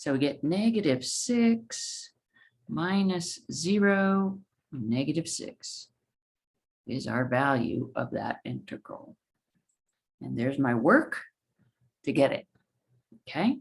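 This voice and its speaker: Her speech is very slow, with long, frequent pauses. The woman's fairly low voice swings very widely in pitch. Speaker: math professor. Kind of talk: lecture.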